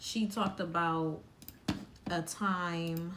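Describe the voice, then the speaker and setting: Very slow speech with audible room echo and noticeable background noise. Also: woman. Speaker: live stream commentator. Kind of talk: casual live stream chat.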